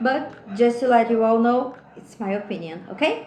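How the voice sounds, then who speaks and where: Speaking with a Brazilian accent at a fairly slow pace, a woman with a fairly high pitch is heard over noticeable background noise and audible room echo. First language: Portuguese. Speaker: podcast host. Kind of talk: solo podcast monologue. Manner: hesitant, with filler sounds.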